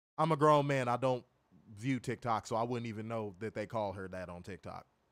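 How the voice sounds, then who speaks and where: A normal speaking voice from a man, medium in pitch with ordinary pitch variation, moves at a fairly quick pace with big swings in loudness in a very clean recording with a silent background. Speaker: wrestling show reviewer. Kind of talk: casual chat.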